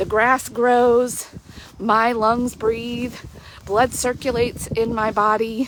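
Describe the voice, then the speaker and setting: A woman with a fairly high pitch speaks at a very slow pace and very even loudness. Noticeable background noise is present. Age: 40s. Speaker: life coach. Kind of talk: devotional reflection. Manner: animated; hesitant fillers.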